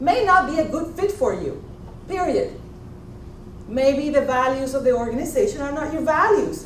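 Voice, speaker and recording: A woman speaks at a moderate pace in a high pitch, animated and with very wide pitch swings, leaving long, frequent pauses. There is audible room echo and noticeable background noise. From Puerto Rico. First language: Spanish. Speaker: executive coach and former trial attorney. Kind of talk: motivational talk.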